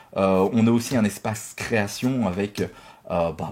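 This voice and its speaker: Ordinary pitch variation marks the voice in a very clean recording with a silent background. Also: man. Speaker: YouTuber opening Pokémon card boosters. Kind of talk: casual pack-opening vlog. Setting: home office.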